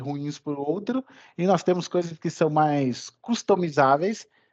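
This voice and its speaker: A man with a fairly high pitch, ordinary pitch variation and a fairly slow pace, in dry, close sound with no echo. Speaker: course instructor. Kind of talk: online lecture. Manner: animated.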